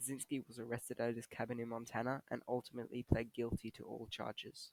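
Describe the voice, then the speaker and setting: A very fast, monotone, flat-sounding man in a dry, close recording with no echo. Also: medium pitch for a man. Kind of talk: documentary narration.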